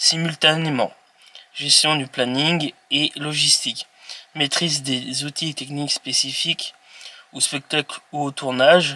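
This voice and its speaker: Over noticeable background noise, a man talks at a fairly slow pace in a fairly high pitch with monotone, flat intonation and a dry, close sound with no echo. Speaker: YouTuber presenting jobs. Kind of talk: informational presentation read from notes. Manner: halting, with hesitations and self-corrections.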